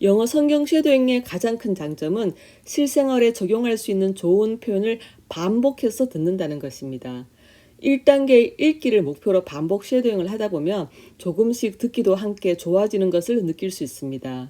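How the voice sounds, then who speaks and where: On a very clean recording with a silent background, a woman speaks at medium pitch in a dark, mellow tone. Her pace is moderate and her pitch swings very widely. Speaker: English Bible shadowing channel host, former English teacher. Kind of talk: scripted testimony narration.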